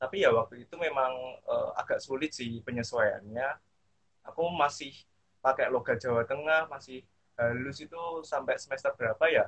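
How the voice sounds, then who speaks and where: The pace is moderate. Loudness swings a great deal. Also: man. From Central Java, Indonesia. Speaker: alumni speaker. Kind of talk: casual online talk. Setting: video call.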